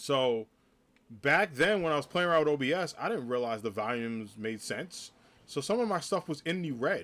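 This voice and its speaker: Loud and with an American accent, a man speaks at a moderate pace with a fairly high pitch and very wide pitch swings. The recording is very clean, with a silent background. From New Jersey (North Jersey). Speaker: streamer and teacher. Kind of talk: live stream chat. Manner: casual.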